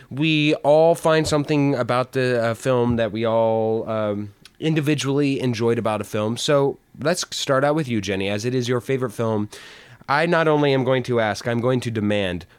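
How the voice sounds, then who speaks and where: A man with a plain, everyday voice, medium pitch, ordinary pitch variation and moderate pace. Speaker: podcast co-host. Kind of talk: casual chat. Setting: virtual remote recording.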